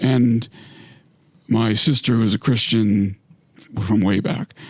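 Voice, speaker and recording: A man at medium pitch speaks at a very slow pace, his loudness very even and his intonation fairly even. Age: 60s. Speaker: retired navy submarine captain. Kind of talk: casual chat. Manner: halting.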